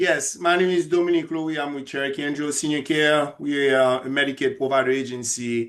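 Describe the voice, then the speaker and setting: In a quiet background, a man with a Haitian accent and fairly high pitch talks at a fairly quick pace, his intonation fairly even and hardly any pauses. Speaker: senior care agency representative. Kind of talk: workshop introduction.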